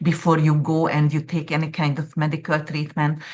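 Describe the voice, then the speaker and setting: A woman speaks in a very deep, low pitch. She has a non-native accent. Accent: noticeable foreign. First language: not English. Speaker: astrologer. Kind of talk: interview conversation.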